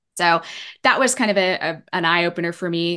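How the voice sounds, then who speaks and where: With a normal speaking voice, a woman talks fairly low in pitch and with fairly even intonation. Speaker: sobriety coach. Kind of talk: interview.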